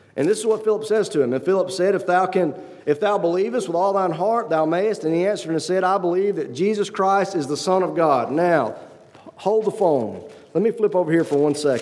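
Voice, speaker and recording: Audible room echo and noticeable background noise surround a man's high voice. He speaks at a fairly quick pace with ordinary pitch variation. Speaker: lay preacher. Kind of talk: sermon. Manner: fast.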